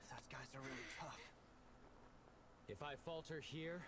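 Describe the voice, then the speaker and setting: A man uses a put-on character voice with a fairly high pitch at a moderate pace. Loud background noise runs underneath. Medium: fan dub. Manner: earnest, determined.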